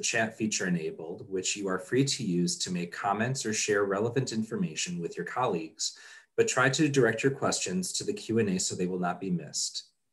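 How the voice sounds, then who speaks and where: Against a quiet background, a man talks with hardly any pauses in a somewhat breathy voice. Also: fairly quick pace. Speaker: conference session moderator. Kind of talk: reading housekeeping announcements. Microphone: video call.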